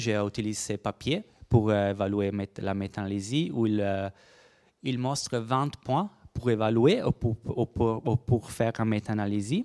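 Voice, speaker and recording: A man with a non-native accent at medium pitch, moderate pace and ordinary pitch variation, the sound dry and close with no echo in a very clean recording with a silent background. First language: Italian (speaking French). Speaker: research biologist. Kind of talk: conference presentation. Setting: workshop room with audience. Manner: halting.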